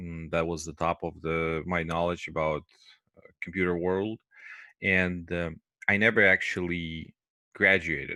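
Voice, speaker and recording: Against a quiet background, a man with a non-native accent talks at a fairly slow pace with long, frequent pauses, a very deep, low pitch, a bright, sharp tone and monotone, flat intonation. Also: dry sound with no echo. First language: not English. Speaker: QA teacher. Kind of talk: lecture. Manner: hesitant, many fillers. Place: home room. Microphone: headset.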